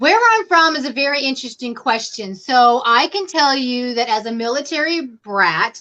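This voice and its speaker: With a slight Southern American accent, a woman speaks in a raised, projected, high voice with a bright, sharp tone, lively intonation, a moderate pace and hardly any pauses. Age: 50s. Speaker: crochet YouTuber. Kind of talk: casual chat. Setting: live stream.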